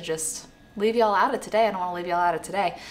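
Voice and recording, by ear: A woman talks at a fast pace. Her pitch is fairly low.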